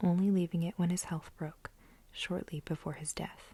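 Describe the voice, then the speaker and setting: Soft-spoken whispering at a moderate pace. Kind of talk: asmr book reading. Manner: whispered, soft-spoken.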